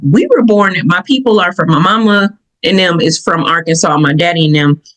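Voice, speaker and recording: With a Southern US accent, a woman speaks in an animated tone at a moderate pace and medium pitch, her intonation lively. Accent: Southern, country. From Michigan, US (Southern family roots). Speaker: podcast host. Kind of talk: personal reflective podcast talk. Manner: animated storytelling; casual, conversational.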